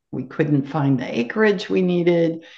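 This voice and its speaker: A woman with an American accent speaks at a very deep, low pitch with lively intonation. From US West, California Sacramento Valley. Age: 60s. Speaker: gemmotherapist and forest project founder. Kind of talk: interview conversation.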